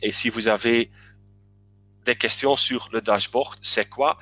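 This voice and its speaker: A man's voice at medium pitch. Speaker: webinar presenter. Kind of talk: webinar presentation. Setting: online webinar. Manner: halting, many hesitations.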